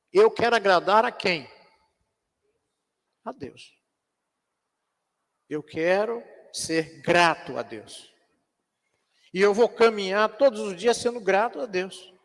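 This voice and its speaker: High-pitched male speech, very slow with long, frequent pauses, ordinary pitch variation and big swings in loudness. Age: 60s. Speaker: pastor teaching Bible class. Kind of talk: Sunday school Bible lesson. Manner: conversational, with rhetorical questions.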